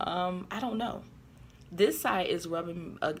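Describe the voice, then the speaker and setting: A woman's fairly low voice with vocal fry and audible room echo. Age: adult. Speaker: vlogger and corporate trainer. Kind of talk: casual vlog. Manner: hesitant, many fillers.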